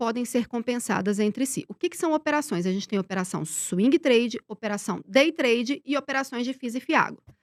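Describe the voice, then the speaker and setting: A woman with a high pitch speaks at a fairly quick pace, her tone animated and her intonation lively. The recording is very clean, dry and close, with no echo and a silent background. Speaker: investment tax expert. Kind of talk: podcast interview, explanatory. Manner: fast.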